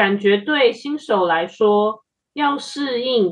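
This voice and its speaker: Fairly high female speech with ordinary variation in pitch. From Taiwan. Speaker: podcast host and Mandarin teacher. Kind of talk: casual chat for language learners.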